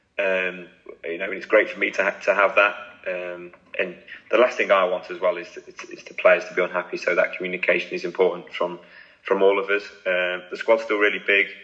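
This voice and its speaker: Noticeable noise sits in the background. A man talks at a fairly quick pace, his loudness swinging widely. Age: 20s. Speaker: women's football manager. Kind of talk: interview.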